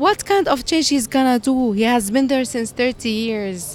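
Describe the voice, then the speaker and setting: A high-pitched woman's voice with an Arabic accent over music in the background. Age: 20s. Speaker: college teacher. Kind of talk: street interview.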